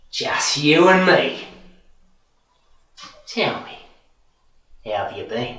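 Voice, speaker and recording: A man's menacing, fairly high voice at a very slow pace, with long, frequent pauses, very wide pitch swings and a slight echo. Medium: short film. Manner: mocking, calmly menacing.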